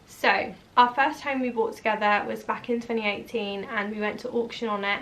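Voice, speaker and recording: A woman with a Norfolk accent talks at a fairly quick pace in a fairly high pitch, with noticeable background noise behind her. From eastern England, Norwich. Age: 20s. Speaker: vlogger and hairdresser. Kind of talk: casual Q&A vlog. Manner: chatty, animated.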